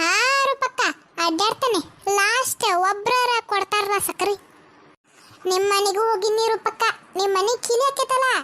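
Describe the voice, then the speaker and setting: A cartoonish character voice at an extremely high pitch moves along at a fairly slow pace. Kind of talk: cartoon comedy voicing. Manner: chatty, gossipy.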